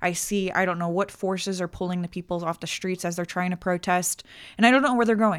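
Recorded very cleanly with a silent background and a dry, close sound without echo, a woman uses a normal speaking voice at a medium pitch and a fairly quick pace. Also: fairly even intonation. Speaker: podcast guest. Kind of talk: casual chat.

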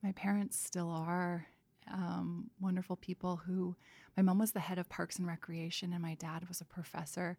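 A woman in a Canadian accent, fairly low-pitched and somewhat breathy, dark and mellow in tone, monotone and flat, at a moderate pace, the sound dry and close with no echo. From Canada, Vancouver. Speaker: painter and product designer. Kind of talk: casual interview conversation. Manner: halting, many fillers and restarts.

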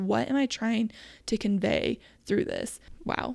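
On a very clean recording with a silent background, a woman speaks in a fairly high voice. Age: 30s. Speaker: podcast host; small business owner, t-shirt shop. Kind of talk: casual, chatty. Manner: fast talker.

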